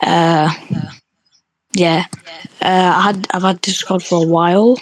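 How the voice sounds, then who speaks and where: A woman's fairly low voice with a British accent, flat and monotone. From UK. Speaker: online roleplay wrestling referee. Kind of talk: casual podcast chat. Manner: hesitant, many fillers.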